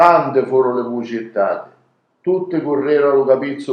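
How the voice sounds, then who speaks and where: In a plain, everyday voice, a man talks at a moderate pace and a medium pitch. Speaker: storyteller. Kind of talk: dialect story reading.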